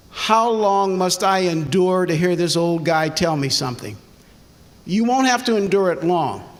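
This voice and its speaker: A man with an American accent, a high pitch and ordinary pitch variation, at a moderate pace with very even loudness and audible room echo. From US Midwest, Ohio. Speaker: retired educator, honoree. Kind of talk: speech to students.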